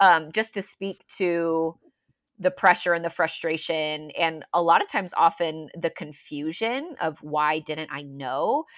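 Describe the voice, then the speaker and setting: A woman with a plain, everyday voice speaks at a fairly low pitch and fairly slow pace with ordinary pitch variation, in a dry, close sound with no echo and a quiet background. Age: 20s. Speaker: pastor. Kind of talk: casual interview conversation.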